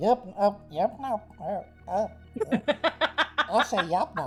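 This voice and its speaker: A put-on character voice with a fairly high pitch moves at a very slow pace while faint music plays in the background. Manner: hesitant, stammering.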